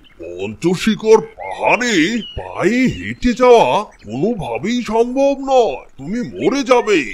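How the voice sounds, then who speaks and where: In a cartoonish character voice, a man speaks at a very slow pace with a high pitch. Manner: booming, laughing.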